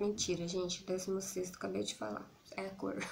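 A woman with a Brazilian accent speaks at a moderate pace, somewhat breathy and dark, mellow in tone, with lively intonation over light background noise. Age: 30s. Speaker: YouTuber. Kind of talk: casual vlog monologue. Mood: relaxed, a bit shy, smiling. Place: home room. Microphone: phone near.

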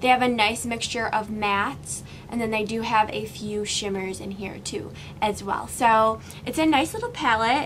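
A woman talks at a moderate pace, her intonation fairly even, with noticeable background noise present. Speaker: beauty vlogger. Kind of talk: tutorial. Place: home room.

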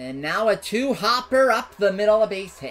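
A man speaks at a moderate pace with a high pitch, big pitch swings and a fairly bright tone.

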